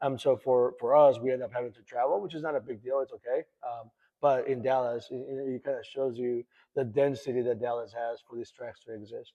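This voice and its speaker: Speaking with a Spanish accent at a fairly quick pace, a man keeps a medium pitch and monotone, flat intonation, with big swings in loudness. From El Salvador, then Houston from age 12. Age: 40s. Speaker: racing club owner. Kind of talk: casual interview.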